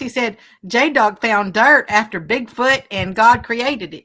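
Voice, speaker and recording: A woman speaks loud in a fairly high pitch with a bright, sharp tone. The recording is very clean, with a silent background. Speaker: livestream co-host reading chat. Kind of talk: casual chat on a fishing livestream. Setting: outdoors on a river.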